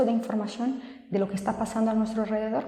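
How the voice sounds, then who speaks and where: A soft-spoken woman with a fairly high pitch talks at a fairly quick pace, with audible room echo and noticeable background noise. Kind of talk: video tutorial.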